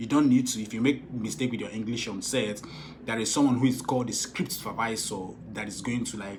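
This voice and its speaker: Audible room echo surrounds a man speaking at a fairly quick pace. His pitch is medium, with ordinary pitch variation. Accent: southeastern Nigerian. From Nigeria, Igbo. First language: Igbo. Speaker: film director and producer. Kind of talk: vlog advice talk. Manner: animated.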